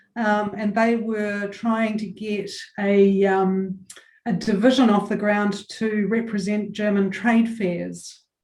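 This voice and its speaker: A woman with a New Zealand accent speaks very slowly in a monotone, flat way. Audible echo fills the room. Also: medium pitch for a woman. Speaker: chamber of commerce chief executive. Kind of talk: interview. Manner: hesitant, many fillers.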